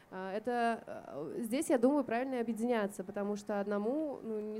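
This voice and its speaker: Fairly quick, fairly high-pitched speech from a woman, dark and mellow in tone, with fairly even intonation. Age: 30s. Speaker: fashion designer. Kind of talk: open panel discussion. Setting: live recording at a festival.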